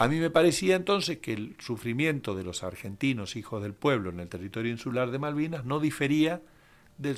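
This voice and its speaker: The recording is very clean, with a silent background. The pace is fairly quick and the pitch swings very widely. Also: man. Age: 60s. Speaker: human rights lawyer, author. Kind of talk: radio interview. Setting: radio studio.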